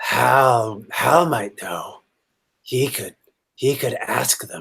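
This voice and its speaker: A raspy, put-on character voice at low-to-middle pitch moves along at a very slow pace. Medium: actual play. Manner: stammering, hesitant, repeats words.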